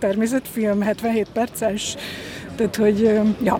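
The speech has monotone, flat intonation, with noticeable background noise behind it. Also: woman. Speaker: film journalist and script supervisor. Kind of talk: casual chat.

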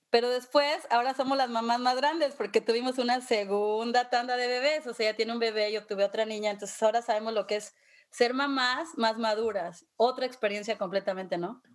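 Delivered at a fairly quick pace with hardly any pauses and ordinary pitch variation, this is a normal speaking voice. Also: woman, fairly high pitch for a woman. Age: 50s. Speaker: podcast host. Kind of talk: casual chat.

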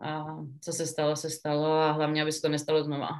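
A woman speaks in a very deep, low pitch. The background is quiet. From Czechia, Pardubice. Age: 20s. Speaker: professional ice hockey player. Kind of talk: interview. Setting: remote call.

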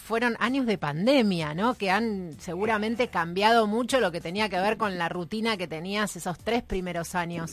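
A woman talks at a moderate pace in an ordinary speaking voice, medium in pitch with ordinary variation. The recording is very clean, with a silent background. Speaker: radio co-host, university staff. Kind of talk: radio show.

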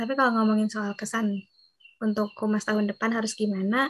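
Her voice fairly high and somewhat breathy, a woman speaks at a moderate pace. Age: 20s. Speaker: student organization PR member, podcast host. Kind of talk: casual chat.

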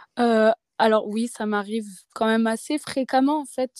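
On a very clean recording with a silent background and a dry, close sound with no echo, a woman speaks at a fairly high pitch with a dark, mellow tone and fairly even intonation. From Auvergne, France (near Clermont-Ferrand). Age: 20s. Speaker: traveller. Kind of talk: testimony.

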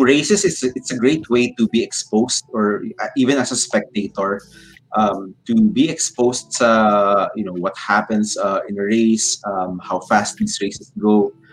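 Music plays in the background. Over it, a man is speaking. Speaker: FPV drone pilot and builder. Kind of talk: casual interview. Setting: live stream.

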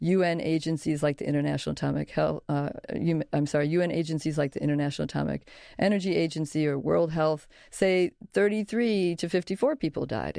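With an American accent and a fairly quick pace, a woman speaks in a dry, close sound with no echo against a quiet background. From US Midwest, Chicago. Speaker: historian and professor. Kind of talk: interview. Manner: halting, with false starts.

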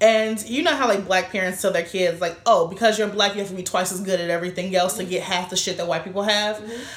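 A woman at a very fast pace, medium pitch and fairly even intonation, with audible room echo. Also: hardly any pauses. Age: 20s. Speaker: podcast co-host and author. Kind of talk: casual chat.

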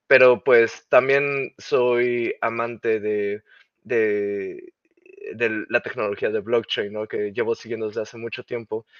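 A man's medium-pitched voice, very slow and monotone with flat intonation. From Mexico. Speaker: game creative director. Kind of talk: interview.

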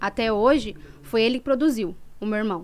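A woman speaks at a moderate pace. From São Paulo, east side. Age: 20s. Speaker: former funk MC. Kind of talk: podcast interview.

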